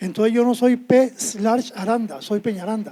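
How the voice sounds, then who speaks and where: Speaking with a high pitch, a man has a dark, mellow tone. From Costa Rica, Alajuela. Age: 70s. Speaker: poet. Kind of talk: poetry reading; humorous anecdote on stage. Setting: stage with audience.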